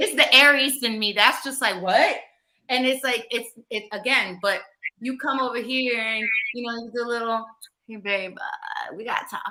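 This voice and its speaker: Her loudness swings widely as a woman with an American accent talks at a moderate pace. She has a high pitch and ordinary pitch variation. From Florida. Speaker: podcast host. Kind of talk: casual chat. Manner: animated.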